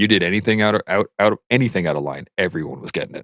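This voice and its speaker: In a slight southern Alberta accent, a man speaks at a fairly low pitch with ordinary pitch variation, the sound dry and close with no echo. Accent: slight southern Alberta twang. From Canada, southern Alberta. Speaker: army veteran. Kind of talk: casual chat.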